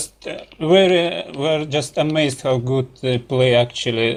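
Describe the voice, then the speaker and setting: A man with a Russian accent speaks with fairly even intonation. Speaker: gaming team leader. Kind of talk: interview. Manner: halting.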